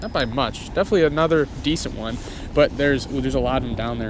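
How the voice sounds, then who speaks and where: Fairly quick, fairly high-pitched speech from a man, with ordinary pitch variation and noticeable background noise. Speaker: fishing YouTuber. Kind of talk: outdoor vlog commentary. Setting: outdoors on a frozen pond. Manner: fast; excited, animated.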